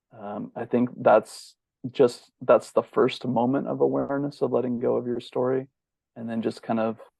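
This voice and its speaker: Someone soft-spoken talks at a moderate pace with an American accent. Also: man. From US West Coast, Bay Area. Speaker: bodyworker and holistic healer. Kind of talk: interview.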